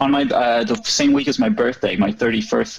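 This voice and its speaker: The voice moves at a fairly slow pace with very wide pitch swings, and there is noticeable background noise. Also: man. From Norway, northwest coast. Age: 30s. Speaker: stand-up comedian. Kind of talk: casual chat. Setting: podcast interview.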